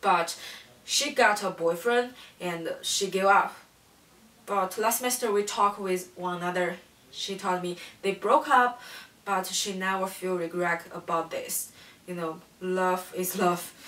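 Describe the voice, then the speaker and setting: A woman with a non-native accent talks at a fairly slow pace with ordinary pitch variation, long, frequent pauses, and noticeable background noise. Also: medium pitch for a woman. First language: not English. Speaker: student. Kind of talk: class presentation. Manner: halting.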